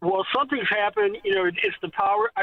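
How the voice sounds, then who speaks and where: A man speaks high in pitch, with pitch that varies in an ordinary way. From Ohio, Toledo. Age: 70s. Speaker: caller. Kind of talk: phone call-in. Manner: halting.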